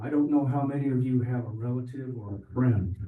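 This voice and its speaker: A man's somewhat breathy, dark and mellow medium-pitched voice at a fairly quick pace, with audible room echo. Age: old. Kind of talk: public comment speech. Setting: town hall meeting with audience.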